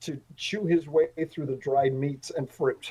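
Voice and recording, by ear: At a fairly slow pace, a man speaks with a fairly high pitch, a dark, mellow tone and a slightly husky edge. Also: fairly even intonation.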